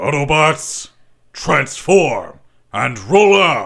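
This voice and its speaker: A raspy, put-on character voice from a man, fairly high in pitch and very slow. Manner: commanding, heroic.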